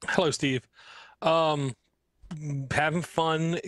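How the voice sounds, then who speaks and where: In a Baltimore accent, a man speaks at a very slow pace with a fairly high pitch and fairly even intonation. The recording is very clean, dry and close with no echo and a silent background. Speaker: podcast co-host. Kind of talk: casual chat. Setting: live-streamed podcast.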